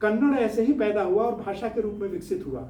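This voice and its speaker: A man with a Bihari accent speaks amid noticeable background noise and audible room echo. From Bihar, India (village). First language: Bhojpuri (speaking Hindi). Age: 70s. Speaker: scientist and social-political activist. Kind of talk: studio interview talk. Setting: studio.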